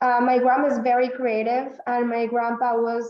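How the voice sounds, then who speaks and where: A woman with a high pitch talks at a fairly slow pace, with audible room echo around her voice. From northern Mexico, then San Antonio from age 12. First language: Spanish. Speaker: artist. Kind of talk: casual interview. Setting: video call. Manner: halting, frequent fillers.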